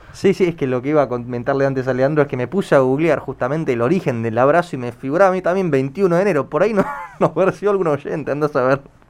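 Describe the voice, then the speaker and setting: A man with a fairly high voice talks at a very fast pace with ordinary pitch variation over noticeable background noise. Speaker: radio host. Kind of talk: radio interview.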